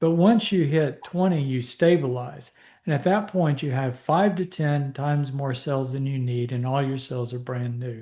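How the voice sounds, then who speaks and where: Against a quiet background, a man's fairly high voice comes through somewhat breathy, with a dark, mellow tone. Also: ordinary pitch variation, moderate pace. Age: 60s. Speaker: physician. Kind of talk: Q&A talk. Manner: casual, halting with fillers.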